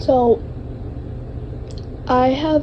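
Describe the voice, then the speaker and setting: Noticeable background noise sits behind a woman speaking in a flat, monotone intonation. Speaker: vlogger. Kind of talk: personal testimony. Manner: halting.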